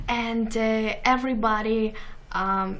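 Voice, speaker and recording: Speaking with a Ukrainian accent, a woman uses a fairly high pitch and monotone, flat intonation amid noticeable background noise and audible room echo. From Ukraine. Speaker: TV show host. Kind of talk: interview. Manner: halting.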